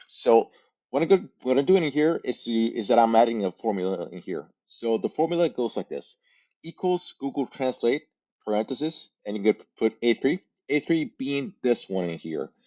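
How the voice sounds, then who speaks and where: With a Spanish accent, a man at medium pitch and moderate pace, his pitch swinging very widely. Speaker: language learning content creator. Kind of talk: tutorial. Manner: halting, many fillers and repeats.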